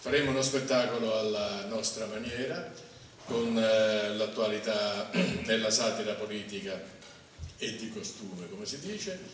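Fairly slow male speech with ordinary pitch variation, audible room echo and light background noise. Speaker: theatre director and playwright. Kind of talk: press conference presentation. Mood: wry, humorous. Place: hall.

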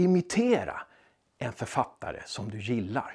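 A man talks with very wide swings in pitch. The background is quiet. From Sweden. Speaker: novelist and writing coach. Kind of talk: tutorial. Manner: direct, informal, encouraging. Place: studio.

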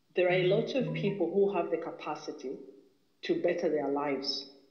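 A man talks at a high pitch. There is audible room echo against a quiet background. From Zambia. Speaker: caller. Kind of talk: political commentary monologue. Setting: phone call. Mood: earnest, critical. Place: home room. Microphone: phone near.

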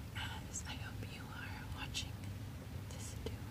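The pace is fairly slow as a woman talks. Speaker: ASMR content creator. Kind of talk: ASMR toy tour, whispered sleep-aid narration.

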